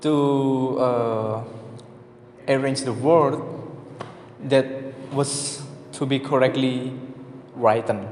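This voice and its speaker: A man's very slow, monotone speech with flat intonation in an Indonesian accent, long, frequent pauses, audible room echo and noticeable background noise. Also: medium pitch for a man. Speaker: student. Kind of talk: class presentation. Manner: halting.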